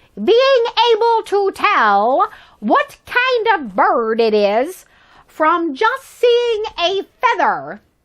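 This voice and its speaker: A woman uses a put-on character voice pitched extremely high, delivered at a very slow pace. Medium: read story. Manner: strict.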